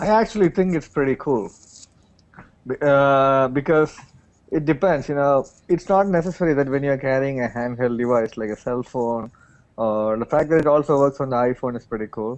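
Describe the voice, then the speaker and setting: Speaking in a South Indian accent, a man uses a fairly high pitch with ordinary pitch variation. The background is quiet. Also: moderate pace. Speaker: tech show panelist. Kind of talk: casual panel discussion.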